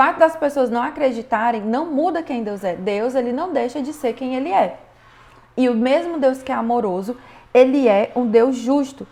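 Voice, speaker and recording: A woman with a high pitch and a dark, mellow tone speaks at a moderate pace with ordinary pitch variation. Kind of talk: online class, religious teaching.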